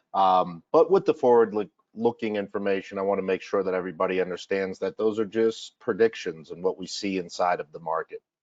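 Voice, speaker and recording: A man with a Massachusetts accent talks at a fairly quick pace with hardly any pauses. His pitch is fairly low with ordinary variation. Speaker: financial advisor. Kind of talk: webinar presentation. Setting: online webinar.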